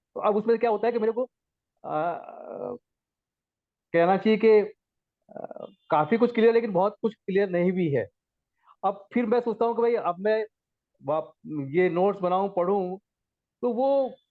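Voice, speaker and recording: A high-voiced man speaks with ordinary pitch variation, leaving long, frequent pauses. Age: 60s. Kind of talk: study group discussion.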